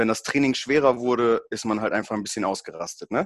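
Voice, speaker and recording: Over a quiet background, a man with a plain, everyday voice talks at a medium pitch with fairly even intonation. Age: 20s. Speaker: powerlifting event announcer. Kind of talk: casual chat.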